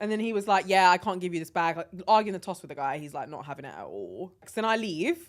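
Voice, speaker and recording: Speaking very fast with hardly any pauses, a woman with an English accent uses an animated tone and big swings in loudness. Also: medium pitch for a woman, ordinary pitch variation. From London, England. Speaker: podcast co-host. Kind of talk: casual chat.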